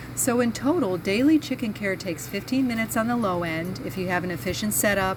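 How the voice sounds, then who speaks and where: There is noticeable background noise and audible room echo around this woman's voice. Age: 60s. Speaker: chicken farmer and video host. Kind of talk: tutorial.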